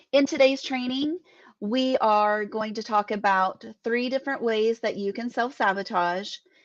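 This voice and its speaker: A woman with a fairly high pitch and ordinary pitch variation speaks in an unremarkable speaking voice over a quiet background. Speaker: business mindset coach. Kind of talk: live online training. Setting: live stream.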